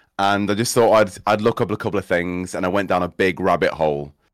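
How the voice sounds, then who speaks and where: With a Cheshire accent, a man speaks at a fairly low pitch with ordinary pitch variation on a very clean recording with a silent background. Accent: northern English (Cheshire). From England, Cheshire. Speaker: streamer and theatre school owner. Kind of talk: casual chat.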